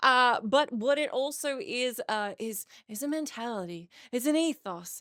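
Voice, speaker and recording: A woman speaks with an Australian accent at a high pitch. Her intonation is lively. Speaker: podcast host. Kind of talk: casual solo podcast chat. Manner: animated.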